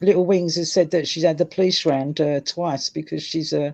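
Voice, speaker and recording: The speaker talks at a moderate pace with a Cockney accent. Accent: Cockney London English. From London, England. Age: 60s. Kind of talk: casual chat.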